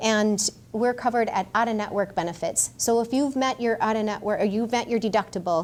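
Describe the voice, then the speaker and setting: This woman talks at a fairly quick pace. Her intonation stays fairly even. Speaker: physician assistant. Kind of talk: Q&A talk. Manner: fast.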